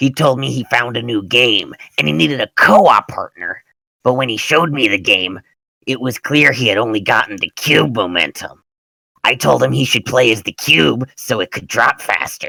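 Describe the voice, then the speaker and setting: Using a raspy put-on character voice, a man speaks with lively intonation. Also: medium pitch for a man, moderate pace. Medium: machinima.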